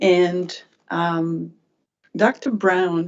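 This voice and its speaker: A woman speaks in a Quebec accent. Her pitch sits fairly low. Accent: French-Canadian accent in English. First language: French. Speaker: regulatory board member. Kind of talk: questioning at a hearing. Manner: halting.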